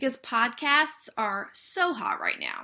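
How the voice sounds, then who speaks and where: A woman's high-pitched, bright and sharp voice, raised and projected, with very wide pitch swings at a fairly slow pace, on a very clean recording with a silent background. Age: 20s. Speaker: podcast host. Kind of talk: casual monologue.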